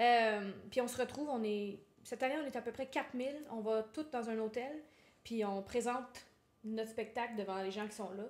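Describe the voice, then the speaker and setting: Someone speaks with a Quebec accent at a moderate pace, the intonation fairly even. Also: woman, fairly high pitch for a woman. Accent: Québécois French. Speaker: singer-songwriter. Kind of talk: interview.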